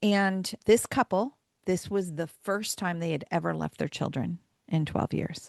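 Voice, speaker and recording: A woman speaks in a plain, everyday voice at a fairly low pitch, with ordinary pitch variation. The pace is fairly slow, and the sound is dry and close with no echo. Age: 60s. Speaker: marriage author and speaker. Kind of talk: podcast interview.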